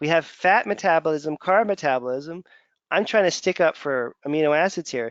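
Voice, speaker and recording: This man's voice sits at a fairly high pitch. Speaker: clinician teaching lab testing. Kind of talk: webinar lecture. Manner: fast.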